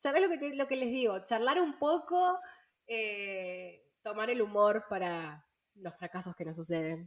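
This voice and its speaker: A woman speaks in a fairly high pitch that swings very widely. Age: 20s. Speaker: podcast co-host. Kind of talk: casual chat.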